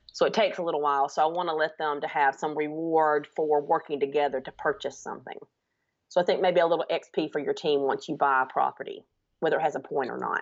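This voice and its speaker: A woman with a Southern US accent talks at a very fast pace. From US South (Alabama). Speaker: teacher. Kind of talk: casual chat.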